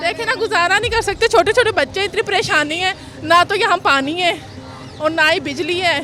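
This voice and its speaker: Over music in the background, a woman projects a raised voice at an extremely high pitch. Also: ordinary pitch variation. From Punjab, Pakistan. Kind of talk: interview answer.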